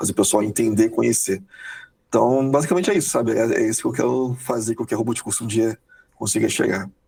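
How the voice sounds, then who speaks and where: A man talks very fast at a medium pitch. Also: ordinary pitch variation. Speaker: software quality analyst. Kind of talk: podcast interview. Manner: hurried, energetic.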